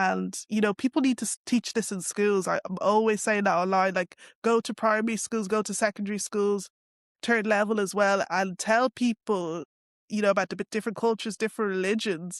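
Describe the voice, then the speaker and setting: A woman with a Dublin accent speaks at a fairly quick pace and a medium pitch. The sound is dry and close, with no echo. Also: fairly even intonation, quiet background. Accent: Dublin Irish. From Ireland, Dublin. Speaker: interviewee on race and culture. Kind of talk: interview. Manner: casual, many fillers.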